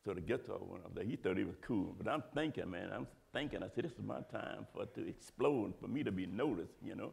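Delivery is animated and very fast, with hardly any pauses. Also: man. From New Orleans. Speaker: drummer. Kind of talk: interview answer. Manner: casual, animated storytelling. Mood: animated storytelling. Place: hall. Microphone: lapel.

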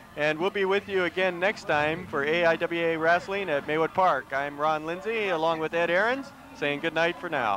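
A man speaks at a high pitch with ordinary pitch variation and hardly any pauses, in a dry sound with no echo over light background noise. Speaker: wrestling commentator. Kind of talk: live wrestling commentary, play-by-play with jokes. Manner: excitable, quick reactive exclamations, bantering. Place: stadium. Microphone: headset.

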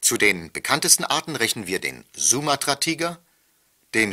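On a very clean recording with a silent background, a man of medium pitch speaks at a moderate pace in a bright, sharp tone, with vocal fry and very wide pitch swings. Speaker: former television news anchor. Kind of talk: pre-recorded tour-guide narration played over loudspeakers. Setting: played from tape over loudspeakers in train wagons.

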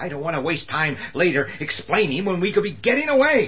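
A man puts on a whiny character voice at a fairly quick pace, with very wide pitch swings. Light background noise is present. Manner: whining, sarcastic, panicky.

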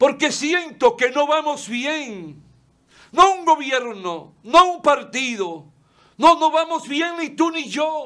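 A man with an extremely high pitch, a raised, projected voice and a bright, sharp tone, talking at a very slow pace with lively intonation and big swings in loudness over a quiet background. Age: 70s. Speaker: lawyer and TV commentator; lawyer, TV commentator. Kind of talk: opinion monologue. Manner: impassioned. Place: studio.

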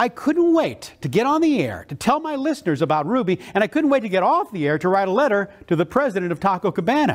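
In a quiet setting, a high-pitched man speaks at a fairly quick pace, his pitch swinging very widely. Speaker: motivational keynote speaker. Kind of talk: motivational keynote speech. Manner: enthusiastic, energetic. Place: hall. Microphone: lapel.

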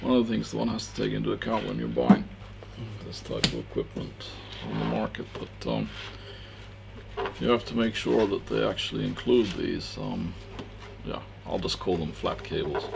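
A man talks at a moderate pace with long, frequent pauses. Noticeable background noise runs under his voice. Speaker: electronics reviewer. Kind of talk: tutorial. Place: studio. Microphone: headset.

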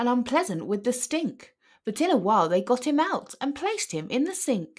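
A woman's fairly high voice with big pitch swings at a moderate pace

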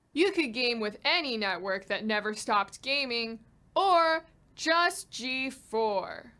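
Fairly high and bright, sharp in tone, a woman's voice moves at a fairly slow pace with lively intonation. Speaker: promo spokesperson. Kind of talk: TV promo read. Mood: deadpan, dry humor. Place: studio.

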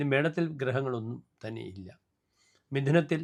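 This is an unremarkable speaking voice with lively intonation. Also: man. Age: 60s. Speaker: astrologer. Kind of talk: horoscope forecast monologue. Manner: formal.

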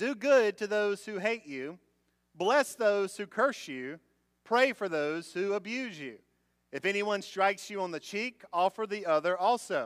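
A man speaks fairly slowly in a quiet setting. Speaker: pastor. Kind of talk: sermon scripture reading. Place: church. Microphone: podium.

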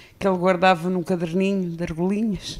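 With a European Portuguese accent, a woman speaks at a fairly low pitch. Her pace is moderate. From Portugal. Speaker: fado singer. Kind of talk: interview, casual chat. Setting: studio. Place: studio. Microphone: handheld.

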